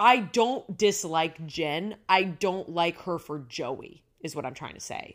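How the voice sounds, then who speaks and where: With lively intonation and big swings in loudness, a woman speaks at a fairly slow pace in a fairly low pitch, hardly pausing at all. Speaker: podcast co-host and actor. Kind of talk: casual chat.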